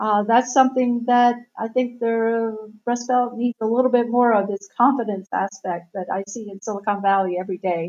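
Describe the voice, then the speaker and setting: A normal speaking voice at a moderate pace, with fairly even intonation and big swings in loudness. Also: woman. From Southern Ohio, US Midwest. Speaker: author and tech journalist. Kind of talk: interview.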